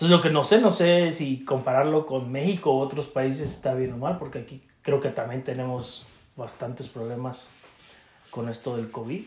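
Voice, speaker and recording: A man with a medium-pitched voice speaks at a moderate pace with ordinary pitch variation and big swings in loudness over noticeable background noise. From Mexico, State of Mexico. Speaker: podcast co-host. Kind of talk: casual chat.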